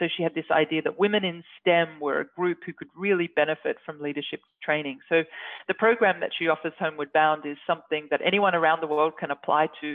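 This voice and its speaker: A woman speaks at a fairly quick pace with an Australian accent. Her intonation stays fairly even. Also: fairly low pitch for a woman. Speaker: scientist. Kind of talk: interview.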